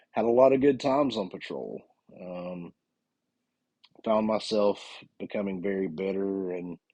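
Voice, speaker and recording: A man with a Southern US accent and fairly low pitch, dark and mellow in tone, moderate in pace with long, frequent pauses and ordinary pitch variation. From US South, North Carolina. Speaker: police officer and podcast host. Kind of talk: podcast monologue.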